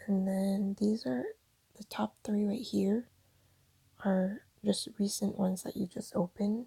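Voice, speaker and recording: Whispering at a moderate pace. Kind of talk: screen-recorded app tutorial. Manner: whispered.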